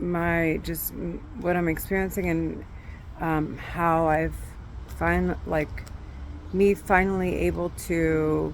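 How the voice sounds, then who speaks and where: A woman speaks at a very slow pace with long, frequent pauses, amid noticeable background noise and audible room echo. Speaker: vlogger sharing personal mental health experience. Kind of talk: personal video diary. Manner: halting, many fillers.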